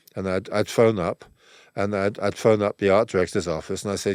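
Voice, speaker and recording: At a very fast pace, a man with a fairly low voice speaks in fairly even intonation, the recording very clean with a silent background and the sound dry and close with no echo. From England. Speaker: music photographer. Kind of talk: interview storytelling. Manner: halting, many repeats and fillers.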